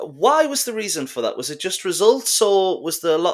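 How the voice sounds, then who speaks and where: Speech moves at a moderate pace. The accent is Geordie. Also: man. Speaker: football podcast host. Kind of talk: casual chat. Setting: online call.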